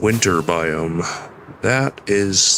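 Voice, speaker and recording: Lively intonation from a man with fairly low pitch, over noticeable background noise. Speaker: vtuber streamer. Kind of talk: casual gaming stream commentary.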